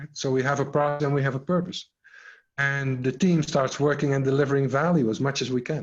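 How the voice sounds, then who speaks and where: A man speaks at a fairly high pitch, sounding somewhat breathy. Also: fairly even intonation, fairly quick pace. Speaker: agile coach and scrum trainer. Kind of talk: online workshop.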